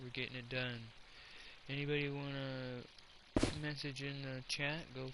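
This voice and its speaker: A quiet man at medium pitch and moderate pace, monotone and flat in intonation, with audible room echo and noticeable background noise. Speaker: gaming streamer. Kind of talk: live stream commentary.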